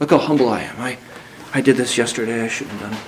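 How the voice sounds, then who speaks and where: Very fast speech from a man at medium pitch with ordinary pitch variation, audible room echo and noticeable background noise. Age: 30s. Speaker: visiting preacher. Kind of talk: sermon. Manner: halting, frequent word repetitions.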